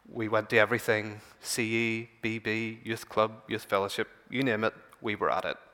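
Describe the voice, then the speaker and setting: A man's bright, sharp tone at a moderate pace with monotone, flat intonation. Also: medium pitch for a man. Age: 20s. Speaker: church speaker and scientist. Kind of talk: church talk. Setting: church meeting. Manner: halting.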